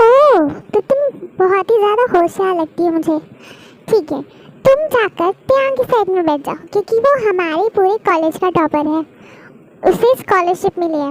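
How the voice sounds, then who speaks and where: A woman performs a put-on character voice at an extremely high pitch. She keeps a moderate pace, and the sound is dry and close with no echo. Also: lively intonation. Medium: read story. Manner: brisk, motherly.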